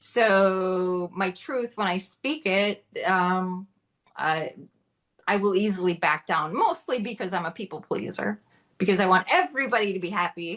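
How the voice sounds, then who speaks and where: Over a quiet background, a woman with a plain, everyday voice speaks at a fairly slow pace and medium pitch with ordinary pitch variation. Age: 60s. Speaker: podcast co-host. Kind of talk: podcast interview.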